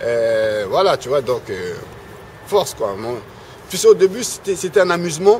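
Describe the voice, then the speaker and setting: Speaking with an Ivorian accent, a man goes at a fairly slow pace with long, frequent pauses over noticeable background noise. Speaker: rap web reporter and radio pundit. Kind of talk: casual interview. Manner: halting, many fillers and repetitions.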